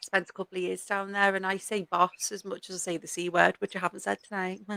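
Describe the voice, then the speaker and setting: A woman talks very fast in a strong Scouse accent, at medium pitch with a bright, sharp tone and monotone, flat intonation. Her loudness swings widely, and the sound is dry and close with no echo. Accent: strong northern (Scouse). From Liverpool, northern England. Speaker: podcast host. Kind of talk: casual chat.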